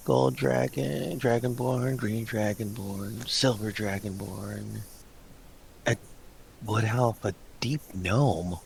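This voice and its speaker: A quiet, mumbled put-on character voice with lively intonation speaks very slowly with long, frequent pauses. Light background noise is present. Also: man, fairly low pitch for a man. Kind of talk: library voice, under the breath. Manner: reading a list to himself.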